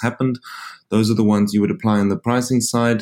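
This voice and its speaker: A man with a South African accent, medium in pitch, speaking very fast with fairly even intonation. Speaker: insurance company founder and CEO. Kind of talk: interview. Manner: halting, with frequent repetitions.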